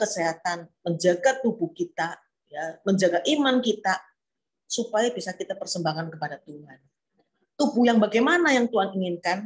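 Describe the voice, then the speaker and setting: A woman speaks at a moderate pace in a medium pitch. Her voice is somewhat breathy, with lively intonation. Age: 70s. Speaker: preacher. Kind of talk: sermon. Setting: online church service.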